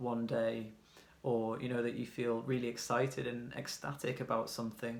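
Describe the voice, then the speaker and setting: A man with a British accent, medium in pitch, monotone and flat in intonation, at a moderate pace. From UK. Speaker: tarot reader. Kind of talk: tarot reading. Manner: casual, hesitant with fillers.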